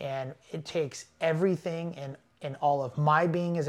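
On a very clean recording with a silent background, a man with a Californian accent speaks with fairly even intonation. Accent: Californian American. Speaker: off-road racing driver. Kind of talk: casual interview. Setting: in person.

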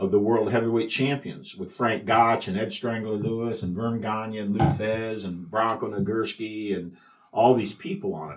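A man speaks with a Midwestern American accent. His pitch is fairly low and his pace moderate. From US Midwest, Iowa. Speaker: journalist and wrestling historian. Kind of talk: interview storytelling. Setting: in person at the museum.

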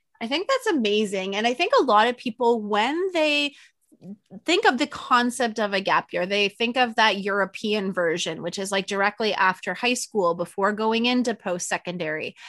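Heard in a dry, close recording with no echo, a woman has an unremarkable speaking voice pitched fairly high. Her intonation is lively and her pace moderate. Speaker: podcast host. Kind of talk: casual interview.

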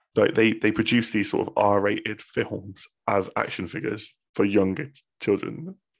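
In a very clean recording with a silent background, a man with a Bristol accent talks at a moderate pace with hardly any pauses. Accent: Bristolian, West Country English. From Bristol, England. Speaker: podcast host. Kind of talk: casual chat between friends.

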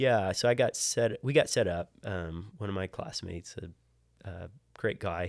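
A man with an American accent and a normal speaking voice talks at a fairly low pitch with ordinary pitch variation and big swings in loudness, on a very clean recording with a silent background. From Maryland, near Baltimore. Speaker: engineer and church deacon. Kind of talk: casual interview chat.

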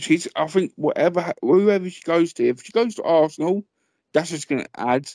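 Dry and close with no echo, a man's slightly mellow voice moves at a fairly quick pace with ordinary pitch variation.

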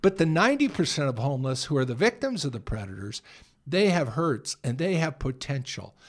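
A fairly quick, fairly high-pitched man's voice with an American accent and very wide pitch swings, on a very clean recording with a silent background. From San Francisco area, California. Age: 60s. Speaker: homeless mission director. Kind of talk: casual interview. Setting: studio.

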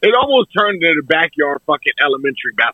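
This man's voice sits high in pitch. He talks at a fairly quick pace. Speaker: sports podcast co-host. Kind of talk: casual chat. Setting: video call. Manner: animated.

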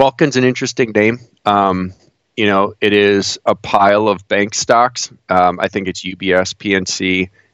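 A man's plain, everyday voice, fairly low-pitched, with an American accent, a fairly slow pace, fairly even intonation and a dry, close sound with no echo. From northeast Ohio, near Cleveland. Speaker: investor and financial blogger. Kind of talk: casual interview.

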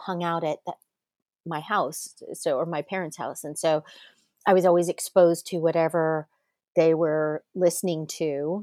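A woman with an ordinary speaking voice and an American accent speaks at a moderate pace, her pitch fairly low. Her intonation is fairly even, and the sound is dry and close with no echo. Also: very clean recording, silent background. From Manhattan Beach, California. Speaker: actress. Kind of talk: casual interview chat.

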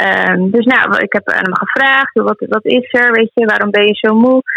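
This woman has a normal speaking voice, fairly high in pitch, speaking at a moderate pace with fairly even intonation in a dry, close sound with no echo. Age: 20s. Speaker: healer and animal communicator. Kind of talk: casual interview.

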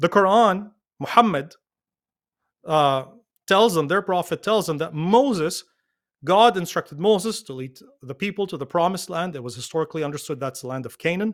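On a very clean recording with a silent background, a man with a high pitch speaks at a moderate pace with lively intonation. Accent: Arabic. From Lebanon. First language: Arabic. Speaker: pastor. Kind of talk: interview discussion, explanatory.

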